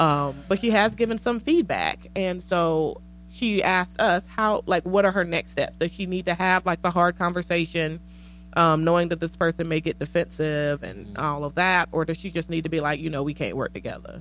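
With ordinary pitch variation, a woman speaks at a fairly low pitch. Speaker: podcast host and social worker. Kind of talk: casual chat. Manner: fast; animated.

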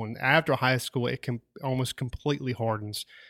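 In a Southern US accent, a man speaks with fairly even intonation. The recording is very clean with a silent background, and the sound is dry and close with no echo. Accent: Southern drawl. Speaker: podcast host.

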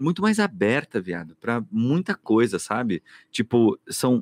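A man talks at a fairly slow pace with very wide pitch swings, recorded with a dry, close sound with no echo on a very clean recording with a silent background. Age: 40s. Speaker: podcast host, theatre director and actor. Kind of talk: casual chat.

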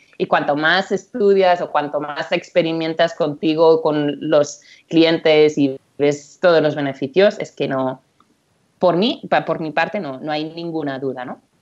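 Fairly slow and fairly even in intonation, a woman talks. Her pitch is very deep and low. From Catalonia, Spain (Empordà). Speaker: nutritionist. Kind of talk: interview.

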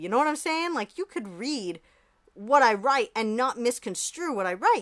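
A woman's high, passionate voice with very wide pitch swings. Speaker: podcast host. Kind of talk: casual unscripted solo podcast chat. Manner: fast talker; rambling, passionate.

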